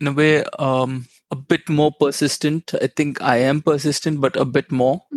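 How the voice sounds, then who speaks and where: A man's fairly high, monotone, flat voice with a Tamil accent, very even loudness and a moderate pace, in a dry, close sound with no echo. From India, Chennai. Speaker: business analyst. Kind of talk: casual interview.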